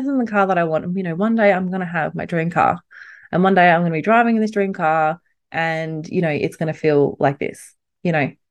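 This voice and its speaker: Over a quiet background, a woman with an Australian accent speaks at a fairly quick pace in an animated tone with a fairly low pitch. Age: 30s. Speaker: podcast host. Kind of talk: solo motivational monologue.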